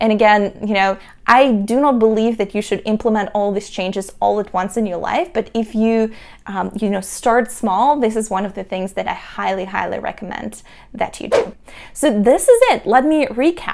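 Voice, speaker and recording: A woman talks at a moderate pace in a Russian accent. Her pitch is fairly high and varies in an ordinary way. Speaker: entrepreneur. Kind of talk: tutorial.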